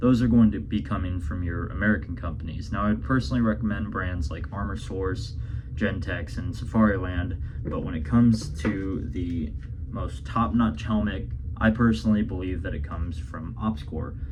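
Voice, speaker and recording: A man speaks with a very deep, low pitch and very wide pitch swings at a moderate pace. There is noticeable background noise. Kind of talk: product review talk to camera.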